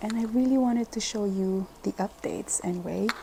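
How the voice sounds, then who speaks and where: Noticeable background noise under a woman's voice, its pitch varying in an ordinary way. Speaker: plant video creator. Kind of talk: casual tutorial vlog. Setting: at home.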